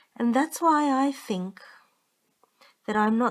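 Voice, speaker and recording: In a calm tone, a woman speaks at a very slow pace with a high pitch. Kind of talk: bedtime story reading. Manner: calm, monotone.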